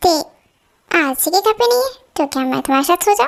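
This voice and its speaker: Squeaky and extremely high-pitched, a woman's put-on character voice races at a very fast pace with very wide pitch swings. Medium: audio drama. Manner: pouty, needy.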